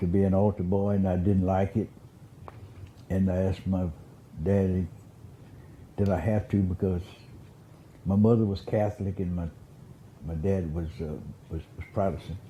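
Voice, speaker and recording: Very deep, low male voice, dark and mellow, somewhat breathy, with monotone, flat intonation at a moderate pace. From US South (Beaumont, southeast Texas). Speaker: former county commissioner, oral history interviewee. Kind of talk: oral history interview. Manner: halting, many repetitions and fillers.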